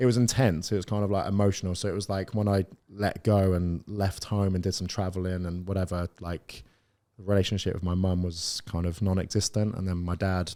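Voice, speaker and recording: On a very clean recording with a silent background, a man with a West Country accent speaks at a fairly quick pace, his very deep voice dark and mellow in tone and monotone in delivery. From South West England, Plymouth. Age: 30s. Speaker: property business owner. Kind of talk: podcast interview. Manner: casual, halting.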